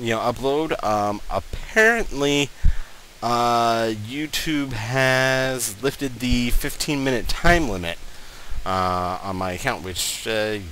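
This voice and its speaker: Noticeable background noise runs under the voice. The pace is very slow, with ordinary pitch variation. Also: man, medium pitch for a man. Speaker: gaming YouTuber. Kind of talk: let's play commentary. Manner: halting, many fillers.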